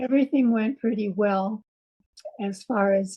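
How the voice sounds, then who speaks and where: At a fairly slow pace, a woman talks in a medium-pitched, somewhat breathy voice with ordinary pitch variation. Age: 80s+. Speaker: heart patient and patient advocate. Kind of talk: interview answer.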